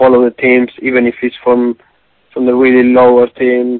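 Speaking at a fairly slow pace, a man keeps his voice at a medium pitch. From Argentina. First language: Spanish. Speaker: professional footballer. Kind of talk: interview. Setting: phone call. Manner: halting.

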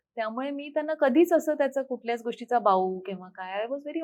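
This is a woman with a Hindi accent. Her pitch is high. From Amravati, Maharashtra, India. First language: Hindi (speaking Marathi). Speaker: foundation founder and parenting coach. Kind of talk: interview.

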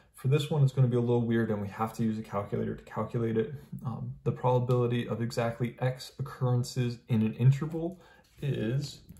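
Talking at a very fast pace, a man uses a somewhat breathy, dark, mellow tone with ordinary pitch variation. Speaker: math teacher. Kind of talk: lecture. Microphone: phone near.

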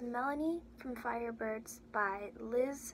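A high-pitched woman over light background noise. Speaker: auditioning actor. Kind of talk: audition slate introduction. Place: home room. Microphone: webcam.

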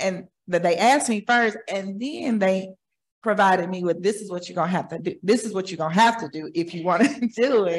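With an American accent, a woman talks at a fairly quick pace, her pitch varying in an ordinary way and her loudness swinging widely. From Oklahoma City. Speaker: community partner. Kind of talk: audience comment. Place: hall.

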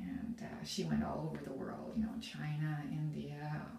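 A woman speaks over light background noise, with audible room echo. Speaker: vlogger. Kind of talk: casual vlog chat. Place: bathroom.

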